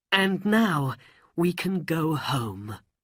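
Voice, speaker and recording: This put-on character voice sits at a middle pitch. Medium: read story. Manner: firm, decisive.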